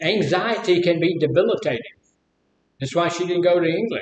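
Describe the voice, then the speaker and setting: A man with a Mississippi accent speaks in a high voice at a moderate pace. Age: 70s. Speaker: live stream host. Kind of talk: casual chat.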